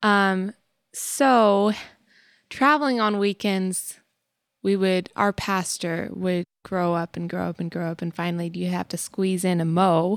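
In a very clean recording with a silent background and a dry, close sound with no echo, a woman with an American accent uses an ordinary speaking voice at medium pitch and a fairly slow pace, with ordinary pitch variation. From Texas. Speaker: family podcast co-host. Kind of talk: casual chat.

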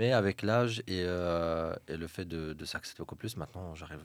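A man's very deep, low voice carries ordinary pitch variation. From Morocco, Fès. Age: 30s. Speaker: architect. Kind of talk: casual chat.

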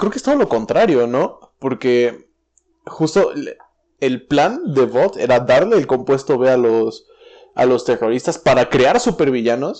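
In a normal speaking voice, a man talks at a moderate pace with fairly high pitch and lively intonation. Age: 20s. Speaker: podcast host. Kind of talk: casual chat.

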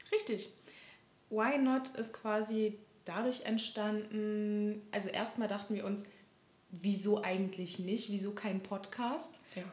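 A woman speaks at a very slow pace, her pitch fairly high. Her intonation stays fairly even, and the room echo is audible. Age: 20s. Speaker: podcast host, social work student. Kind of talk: casual chat.

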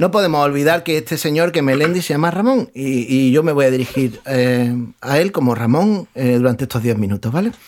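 This man has an unremarkable speaking voice, fairly high in pitch, with lively intonation. He talks at a fairly quick pace and keeps his loudness very even. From Spain, Murcia region (San Pedro). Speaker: podcast panelist. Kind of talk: casual chat.

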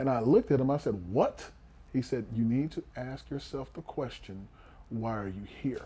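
Speaking with an American accent, a man uses a medium pitch and a dark, mellow tone that is somewhat breathy, with ordinary pitch variation at a moderate pace. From Houston, Texas. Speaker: former pro football player and coach. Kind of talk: interview conversation.

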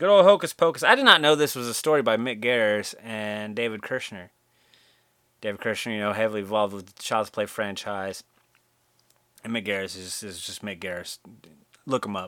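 In a very clean recording with a silent background, a man with a fairly low pitch and a bright, sharp tone speaks at a fairly quick pace, with ordinary pitch variation, big swings in loudness, and long, frequent pauses. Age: 30s. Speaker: podcast host. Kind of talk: casual solo monologue. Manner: casual, laid-back.

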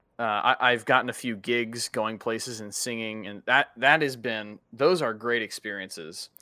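Speaking at a moderate pace with hardly any pauses, a man with a medium pitch and a bright, sharp tone shows ordinary pitch variation and big swings in loudness, the sound dry and close with no echo on a very clean recording with a silent background. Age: 20s. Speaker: podcast co-host, college student. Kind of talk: casual chat. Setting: virtual call. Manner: animated.

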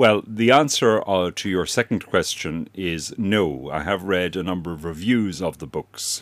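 A man with an Irish accent and a very deep, low pitch speaks at a fairly slow pace with lively intonation on a very clean recording with a silent background. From Ireland. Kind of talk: radio interview. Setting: radio studio. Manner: formal, articulate.

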